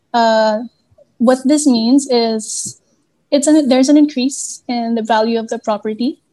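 A woman with a high pitch and a dark, mellow tone speaks fairly slowly with fairly even intonation. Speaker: real estate broker. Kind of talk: interview.

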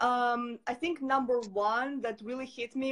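A woman speaks with a Russian accent. Her voice sits high in pitch. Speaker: entrepreneur. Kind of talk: interview.

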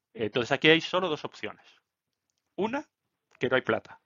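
This man's voice swings very widely in pitch. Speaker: finance YouTuber. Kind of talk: solo market commentary video. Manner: hesitant, many fillers.

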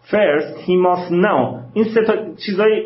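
There is audible room echo and noticeable background noise as a man talks at a moderate speed. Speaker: philosophy professor. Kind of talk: lecture with text reading.

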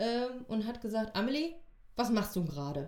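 With a dark, mellow tone, a woman speaks using lively intonation. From Essen, Ruhr area, Germany. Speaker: theatre costume assistant. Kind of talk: casual interview.

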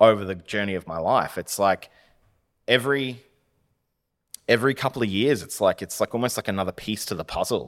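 A man's medium-pitched voice with an Australian accent, fairly quick between long, frequent pauses, with big swings in loudness, ordinary pitch variation, and a dry, close sound with no echo on a very clean recording with a silent background. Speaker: web design business owner. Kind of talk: casual chat.

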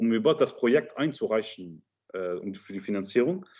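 The speech moves at a moderate pace, its intonation lively. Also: man. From Luxembourg. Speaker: film director. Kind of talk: interview. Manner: halting.

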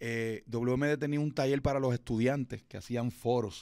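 Nothing is heard behind the voice on this very clean recording. A man delivers his words very slowly. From Puerto Rico, Fajardo (east coast). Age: 40s. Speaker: radio announcer and event emcee. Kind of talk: interview. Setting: recording studio.

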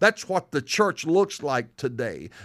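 The recording is very clean, and the background is silent. A man speaks with a Southern US accent. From US South. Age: 60s. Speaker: pastor. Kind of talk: sermon. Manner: emphatic, repeats lines for effect; animated.

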